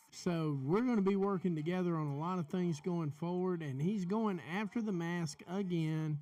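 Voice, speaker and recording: Talking in an American accent at a moderate pace with hardly any pauses, a man uses a high pitch with ordinary pitch variation. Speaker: wrestling podcast host. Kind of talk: live watch-along commentary. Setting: live stream.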